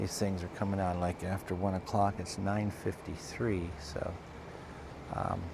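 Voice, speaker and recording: Quiet and very deep, a man's voice moves at a fairly slow pace in a monotone, flat intonation against noticeable background noise. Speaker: channel host filming sky sightings. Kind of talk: casual vlog narration. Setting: outdoors at home, night. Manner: halting, many fillers; speaking low and quiet.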